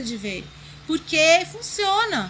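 Projecting her voice, a woman speaks at an extremely high pitch. Her pitch swings very widely. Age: 40s. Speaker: designer and blogger. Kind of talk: interview chat. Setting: in person.

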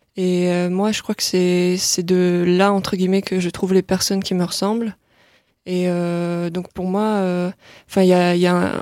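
A woman's dark, mellow voice in a monotone, flat delivery, fairly slow with long, frequent pauses, on a very clean recording with a silent background. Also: medium pitch for a woman. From northern France, Lille. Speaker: pop singer-songwriter. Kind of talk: interview. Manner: halting, many fillers.

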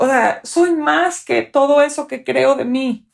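This is a woman speaking. Her pace is very slow. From Mexico (French family). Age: 40s. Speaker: physiotherapist. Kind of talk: personal testimony.

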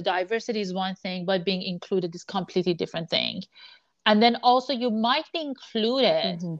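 Speaking with an Iranian accent, a woman uses a medium pitch and ordinary pitch variation at a fairly quick pace. The sound is dry and close with no echo, over a quiet background. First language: Persian. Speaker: sports business analytics executive. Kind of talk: interview conversation.

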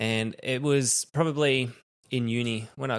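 Recorded very cleanly against a silent background, a man with an Australian accent talks with ordinary pitch variation. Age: 30s. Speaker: podcast host, father. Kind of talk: casual chat.

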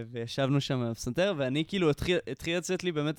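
With lively intonation, a man rattles through his words at a very fast pace. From Israel, Jerusalem. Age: 20s. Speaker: musician and composer. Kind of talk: casual interview.

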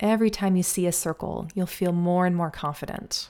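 The recording is very clean, with a silent background. A normal speaking voice talks with fairly even intonation. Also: woman. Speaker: violin teacher and podcast host. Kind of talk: guided meditation; solo podcast monologue, conversational. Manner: slow, soothing, calm; gentle, unhurried, hypnotic.

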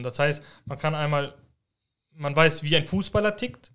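Very clean recording with a silent background of a man's bright, sharp, fairly high-pitched voice at a moderate pace. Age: 30s. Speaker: amateur football referee. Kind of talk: casual chat.

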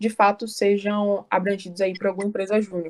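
Quick-paced, a woman speaks fairly fast. Her pitch is medium. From Salvador, Bahia, Brazil. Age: 20s. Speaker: student leader of a youth business network. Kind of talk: casual interview.

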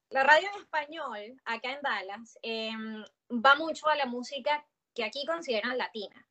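With a raised, projected voice, a woman speaks at high pitch and a moderate pace, her intonation lively and her loudness swinging widely. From Venezuela (Valencia). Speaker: podcaster and journalist. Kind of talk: casual chat.

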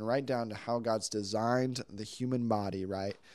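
With a plain, everyday voice, a man talks at a fairly slow pace and medium pitch with fairly even intonation on a very clean recording with a silent background. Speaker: worship leader. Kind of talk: casual chat. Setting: apartment recording.

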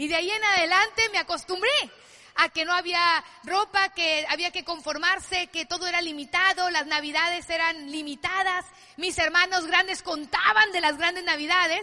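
A woman's extremely high, bright and sharp voice, raised and projected, at a moderate pace with fairly even intonation. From Mexico, Culiacán, Sinaloa. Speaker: network marketing business speaker. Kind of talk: motivational talk.

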